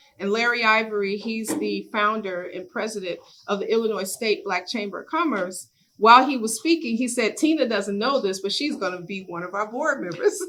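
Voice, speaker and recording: With a normal speaking voice, a woman talks fairly quickly at a fairly high pitch, her intonation lively. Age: 60s. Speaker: business owner and chamber board member. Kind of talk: workshop sharing.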